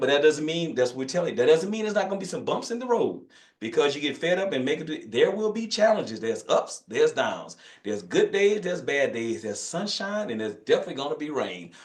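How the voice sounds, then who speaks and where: A man with a Louisiana accent talks at a very fast pace, his pitch swinging very widely. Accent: Louisiana country accent, noticeable. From northern Louisiana, US South. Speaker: physician, hormone specialist. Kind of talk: online masterclass talk. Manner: casual, folksy.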